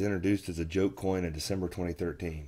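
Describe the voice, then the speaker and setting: A man talks at a fairly quick pace in a very deep, low pitch. His tone is dark and mellow, with fairly even intonation. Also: very clean recording, silent background. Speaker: crypto YouTuber. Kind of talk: casual vlog commentary.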